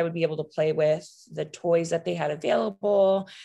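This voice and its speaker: The pace is moderate. This is an unremarkable speaking voice. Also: woman. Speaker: psychiatry resident. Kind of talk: casual interview conversation.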